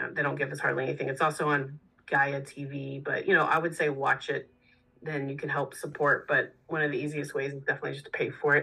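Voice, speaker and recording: With an American accent, a woman rattles off her words at a very fast pace. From Texas. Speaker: musician. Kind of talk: casual chat.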